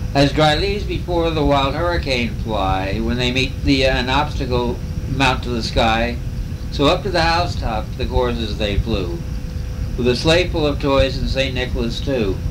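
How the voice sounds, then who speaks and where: A man's very deep, low voice at a moderate pace, with very wide pitch swings and noticeable background noise. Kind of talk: poetry reading. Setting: motel room, home recording.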